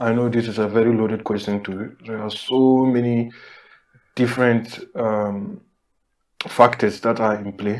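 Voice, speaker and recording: With a non-native accent, a man talks at a fairly slow pace and medium pitch, keeping his intonation fairly even on a very clean recording with a silent background. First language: not English. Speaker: podcast co-host. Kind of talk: casual discussion.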